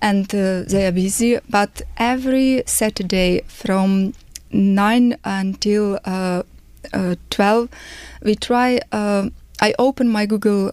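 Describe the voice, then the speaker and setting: A woman's medium-pitched voice at a very slow pace, very even loudness, fairly even intonation. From Ukraine. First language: Ukrainian. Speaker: refugee. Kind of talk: testimony. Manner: halting.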